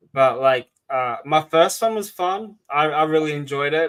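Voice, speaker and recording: A fairly high-pitched man with an Australian accent. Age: 30s. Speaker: podcast host. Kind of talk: casual chat. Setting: podcast recording.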